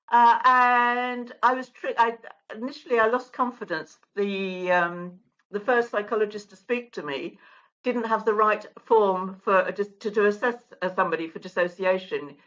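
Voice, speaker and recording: Speaking with an English accent, a woman uses a fairly high pitch, ordinary pitch variation and a moderate pace. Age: 70s. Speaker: mental health advocate. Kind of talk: interview testimony.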